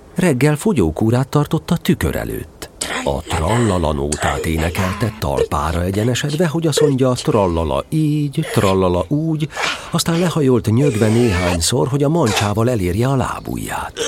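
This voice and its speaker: Over music in the background, a man talks at a moderate pace in a warm, playful tone. His medium pitch moves through very wide swings. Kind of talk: fairy-tale audiobook reading, narration with character lines. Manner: warm, storytelling narrator with a gently playful, animated tone.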